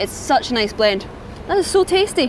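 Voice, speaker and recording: A woman speaks with a Scottish accent. Noticeable background noise sits behind her. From Scotland. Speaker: food reviewer and teacher. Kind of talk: food review vlog. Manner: animated.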